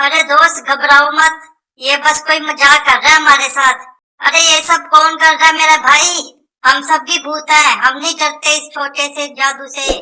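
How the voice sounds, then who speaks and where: A cartoonish character voice comes through at a high pitch. The intonation stays monotone and flat. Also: moderate pace. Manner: casual, chatty, slangy.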